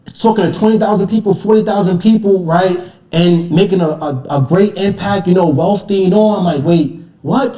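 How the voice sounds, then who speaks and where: An American accent with ordinary pitch variation, against noticeable background noise. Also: man, high pitch for a man. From US, Caribbean family background. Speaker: motivational speaker. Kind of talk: casual chat. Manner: fast; halting.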